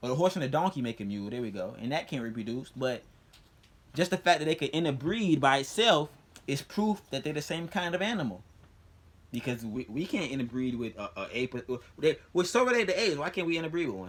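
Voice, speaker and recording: Talking at a very fast pace, a man has a fairly high pitch and very wide pitch swings. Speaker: youtuber explaining religion and science. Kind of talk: casual monologue to camera. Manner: repetitive, stammering restarts.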